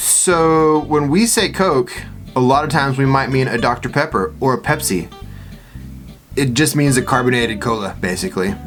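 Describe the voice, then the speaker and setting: Music plays in the background as a man with a Texan accent speaks at a moderate pace and medium pitch. His intonation is lively and his loudness very even. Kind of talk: casual talk to camera.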